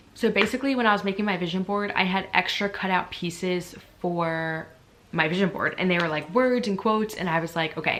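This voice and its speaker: A woman of medium pitch at a fairly quick pace, with ordinary pitch variation. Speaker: vlogger and yoga teacher. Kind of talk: casual vlog talk to camera. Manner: fast; hesitant, many fillers.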